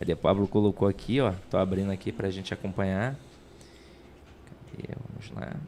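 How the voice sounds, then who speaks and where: Soft-spoken and dark, mellow in tone, the voice moves at a fairly quick pace yet leaves long, frequent pauses. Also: man, fairly low pitch for a man, ordinary pitch variation, big swings in loudness. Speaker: teacher, podcast co-host. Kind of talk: casual chat. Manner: even, steady tone.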